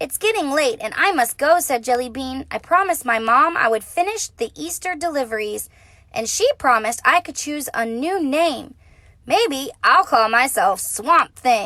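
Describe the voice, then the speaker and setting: A woman puts on a character voice with a high pitch. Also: moderate pace. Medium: read story. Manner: earnest, innocent.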